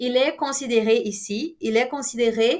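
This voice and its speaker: A woman at high pitch and a very slow pace. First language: Portuguese (speaking French). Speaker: university lecturer. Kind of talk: lecture. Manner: halting, many fillers.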